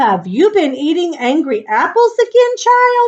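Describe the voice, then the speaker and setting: In a put-on character voice, a woman talks at a moderate pace, her pitch extremely high and swinging very widely. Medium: read story.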